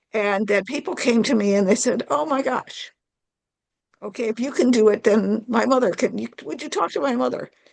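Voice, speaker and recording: Her fairly high voice carries vocal fry and lively intonation as this woman talks at a moderate pace. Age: 70s. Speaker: club member asking panel a question. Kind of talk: audience question in online panel. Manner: halting, repeats words.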